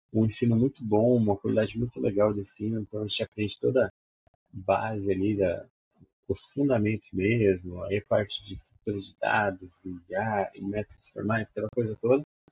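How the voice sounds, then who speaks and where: A man's somewhat breathy voice at a moderate pace. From Brazil, Maringá, Paraná. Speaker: software developer, teacher and cartoonist. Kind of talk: casual interview.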